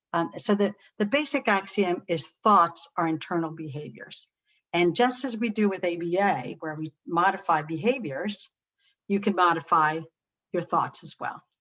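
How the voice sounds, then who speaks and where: This woman has a plain, everyday voice with a fairly low pitch. She talks at a moderate pace with lively intonation. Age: 60s. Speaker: psychologist presenting a webinar. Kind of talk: webinar lecture. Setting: webinar.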